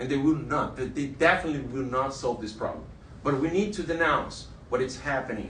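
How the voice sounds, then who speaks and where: A man with a Portuguese accent speaks at a moderate pace, his pitch fairly high with ordinary variation. Audible room echo surrounds the voice. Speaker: journalist. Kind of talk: panel testimony. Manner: halting.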